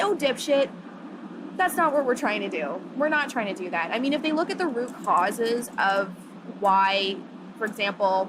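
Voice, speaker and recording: Loud and animated, a woman speaks at a moderate pace in a fairly high voice with very wide pitch swings. Noticeable background noise runs underneath. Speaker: feminist activist. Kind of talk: interview.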